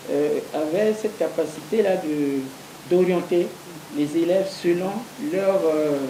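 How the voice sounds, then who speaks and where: In a room with audible echo and noticeable background noise, a woman speaks very slowly at a fairly low pitch, with ordinary pitch variation and long, frequent pauses. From Central African Republic, Bambari. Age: 60s. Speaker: interview guest. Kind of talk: TV interview. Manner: hesitant, many fillers.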